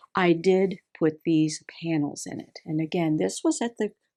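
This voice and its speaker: A woman's medium-pitched voice in a Texas accent, recorded very clean with a silent background and a dry, close sound with no echo. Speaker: seamstress. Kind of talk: tutorial.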